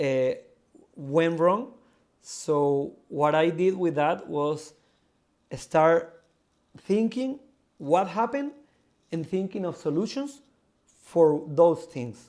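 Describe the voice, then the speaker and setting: A man's very slow, high-pitched speech in a Spanish accent, broken by long, frequent pauses. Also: lively intonation. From South America. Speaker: crypto project founder. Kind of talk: live audio AMA interview. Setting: live audio stage. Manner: halting, many fillers and repeats.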